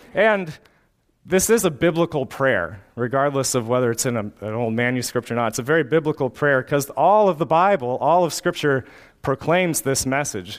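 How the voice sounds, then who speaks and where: A plain, everyday voice from a man, fairly high in pitch, at a moderate pace, in a very clean recording with a silent background. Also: lively intonation. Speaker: pastor. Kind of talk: sermon; closing congregational prayer. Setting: church. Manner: fervent, earnest prayer.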